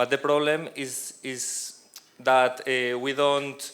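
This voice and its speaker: A man's fairly high pitch with a bright, sharp tone and fairly even intonation. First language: Spanish. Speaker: professor. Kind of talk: conference presentation. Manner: halting, many hesitations and restarts. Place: hall. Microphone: handheld.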